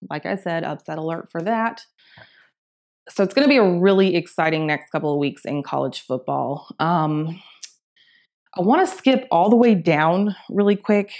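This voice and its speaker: In a plain, everyday voice with an American accent, a woman speaks at a fairly low pitch with lively intonation on a very clean recording with a silent background. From US South, Augusta, Georgia. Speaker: sports podcast host. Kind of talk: casual sports talk monologue. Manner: casual, filler-heavy.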